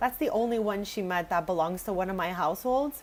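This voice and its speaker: With an Italian accent, a woman speaks in a fairly high pitch and lively intonation. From Quebec, Canada. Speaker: video game streamer. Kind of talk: live stream chat while gaming. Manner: casual, chatty.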